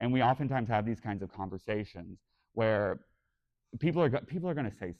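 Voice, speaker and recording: Talking at a very fast pace yet leaving long, frequent pauses, a man sounds animated, with lively intonation. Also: medium pitch for a man. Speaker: podcast host and convention panelist. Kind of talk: convention panel discussion. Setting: stage with audience at a fan convention. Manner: camp, expressive delivery.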